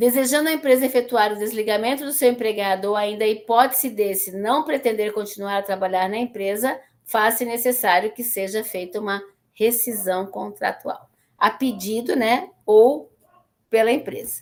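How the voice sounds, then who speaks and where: Using a plain, everyday voice, a woman speaks at a moderate pace with fairly high pitch and ordinary pitch variation. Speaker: teacher. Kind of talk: lecture. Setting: classroom, streamed online.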